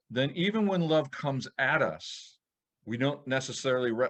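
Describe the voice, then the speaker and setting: Here is a normal speaking voice with lively intonation at a moderate pace. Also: man. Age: 60s. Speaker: podcast co-host. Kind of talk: casual chat.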